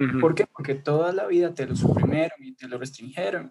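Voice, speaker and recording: This man talks at a very fast pace, his fairly high voice carrying lively intonation. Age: under 20 (19). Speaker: student. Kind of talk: casual chat. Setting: video call.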